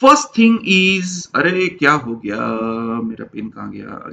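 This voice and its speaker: With an energetic tone and lively intonation, a man speaks in a raised, projected voice. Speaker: engineering lecturer. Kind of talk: classroom lecture. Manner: energetic, repetitive.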